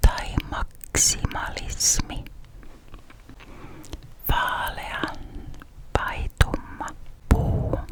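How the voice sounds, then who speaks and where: A woman whispers in a calm tone at a very slow pace, with long, frequent pauses. There is noticeable background noise. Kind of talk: ASMR this-or-that questions. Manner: whispered, calm, relaxing.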